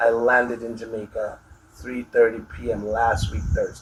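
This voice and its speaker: The speech moves at a fairly slow pace with fairly even intonation over noticeable background noise. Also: man. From Jamaica. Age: 60s. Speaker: army veteran. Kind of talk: interview answer.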